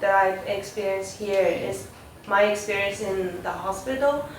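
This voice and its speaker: A woman speaks at a fairly slow pace with lively intonation, with noticeable background noise and audible room echo. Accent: non-native. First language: not English. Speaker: pre-dental volunteer. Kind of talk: testimonial review. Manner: halting, many fillers.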